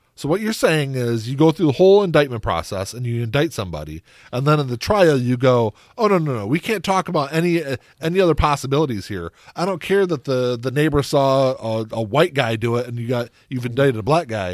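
Here a man talks at a fairly quick pace and medium pitch. His is an ordinary speaking voice with lively intonation. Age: 40s. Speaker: podcast co-host. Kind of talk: casual chat. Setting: studio.

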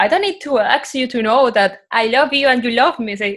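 A woman speaks at a moderate pace with a Spanish accent. Her pitch is high. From Colombia (Cartagena). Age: 20s. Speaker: podcast guest. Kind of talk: casual chat.

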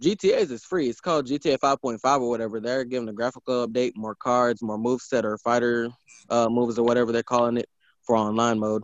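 Fairly quick and fairly even in intonation, a man speaks at a medium pitch in an unremarkable speaking voice. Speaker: podcast co-host. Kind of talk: casual chat.

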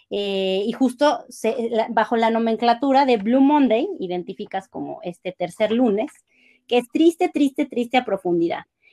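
Recorded with a dry, close sound with no echo, a woman with a fairly high pitch and a dark, mellow tone speaks at a fairly slow pace with lively intonation. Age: 30s. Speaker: academic content editor, music fan. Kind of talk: casual chat.

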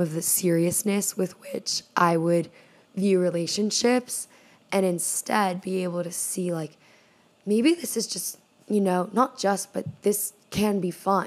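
A woman's medium-pitched voice, fairly slow and fairly even in intonation, with noticeable background noise. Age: 20s. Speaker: podcast host. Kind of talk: casual monologue.

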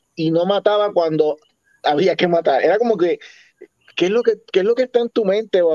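A man with a dark, mellow tone and ordinary pitch variation. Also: dry, close sound with no echo. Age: 40s. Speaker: podcast host. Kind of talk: casual chat. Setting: live stream.

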